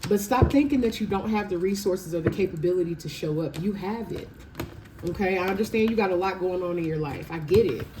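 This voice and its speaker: With an animated tone and a fairly quick pace, a woman speaks through audible room echo and noticeable background noise. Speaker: tarot reader. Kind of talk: tarot reading. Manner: fast.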